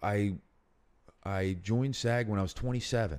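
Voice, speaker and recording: On a very clean recording with a silent background, a man speaks with a Philadelphia accent. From Northeast Philadelphia. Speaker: actor and writer. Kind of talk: casual interview.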